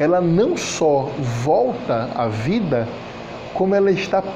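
A man speaks at a high pitch with very wide pitch swings. Noticeable background noise and audible room echo fill the recording. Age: 40s. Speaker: preacher. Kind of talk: sermon.

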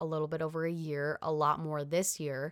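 Heard in a very clean recording with a silent background, a woman with a US Midwestern accent speaks at a moderate pace in a monotone, flat delivery with a very deep, low pitch. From US Midwest (Illinois). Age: 20s. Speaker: sports reporter. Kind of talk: interview. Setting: studio.

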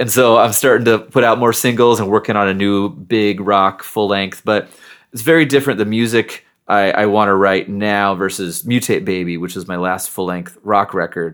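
In a very clean recording with a silent background, a man with an American accent speaks at a moderate pace in a fairly low pitch with ordinary pitch variation, using a normal speaking voice. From Seattle, US Pacific Northwest. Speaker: nerd rock musician. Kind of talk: casual interview chat.

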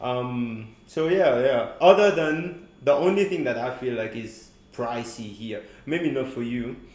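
A man at a fairly slow pace with lively intonation, amid noticeable background noise. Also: medium pitch for a man. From Mauritius. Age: 20s. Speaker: university student. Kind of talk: casual chat.

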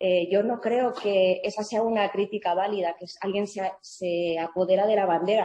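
A woman has an ordinary speaking voice with a medium pitch, fairly even intonation, a moderate pace and hardly any pauses. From Madrid, Spain. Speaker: journalist. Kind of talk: interview.

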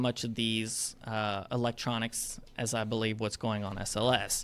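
A man with an American accent talks fairly slowly. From North Alabama, US South. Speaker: aerospace engineer. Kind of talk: casual interview.

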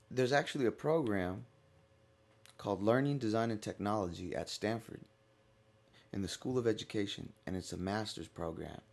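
A man with an American accent speaks at a moderate pace in a fairly low pitch. His intonation is lively. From Stockton, California. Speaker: lecturer and media producer. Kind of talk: interview, personal story. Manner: strong, distinctive way of talking.

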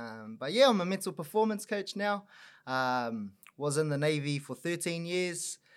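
A man with a high pitch speaks at a moderate pace, his pitch swinging very widely, on a very clean recording with a silent background. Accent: New Zealand. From New Zealand, Auckland North Shore. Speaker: mental performance coach. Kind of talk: casual chat.

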